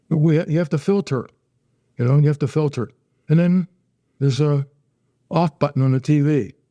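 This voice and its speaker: A man's fairly high, dark and mellow voice at a moderate pace, with ordinary pitch variation, very even loudness and long, frequent pauses, dry and close with no echo against a quiet background. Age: 80s+. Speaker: plane crash survivor, retired air force officer. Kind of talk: interview testimony. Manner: halting, with repetitions.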